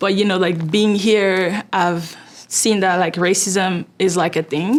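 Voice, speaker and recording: A woman with a non-native accent, speaking at a very slow pace. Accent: noticeable foreign. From Ivory Coast. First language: French. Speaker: fundraising manager. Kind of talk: interview answer.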